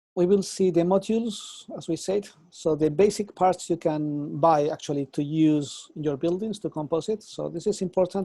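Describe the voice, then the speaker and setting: In a Spanish accent, this voice has a dark, mellow tone, moving at a moderate pace with ordinary pitch variation. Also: man. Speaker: architecture professor. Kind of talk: lecture.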